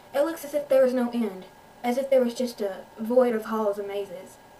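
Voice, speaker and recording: A woman speaks with a Southern US accent at a fairly high pitch, with ordinary pitch variation. Noticeable background noise can be heard. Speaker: amateur author reading own story. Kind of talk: audiobook-style story reading with character voices.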